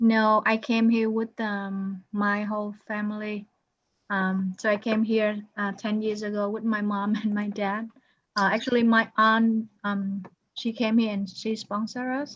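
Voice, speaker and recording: A woman with a non-native accent speaks at a fairly slow pace. Her somewhat breathy voice has monotone, flat intonation. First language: not English. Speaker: accounting instructor. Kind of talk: online class, one-on-one help.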